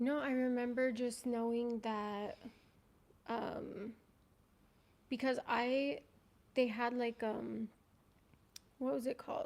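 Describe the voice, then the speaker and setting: Quiet and high-pitched, a woman speaks very slowly with fairly even intonation and long, frequent pauses. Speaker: ex-polygamy community member guest. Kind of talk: casual livestream chat. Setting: livestream. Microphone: too quiet, mic too far.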